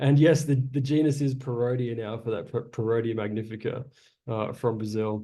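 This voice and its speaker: A man with an Australian accent, dark and mellow in tone, at a moderate pace with fairly even intonation and audible room echo. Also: medium pitch for a man. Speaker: naturalist and botanical tour guide. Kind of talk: lecture.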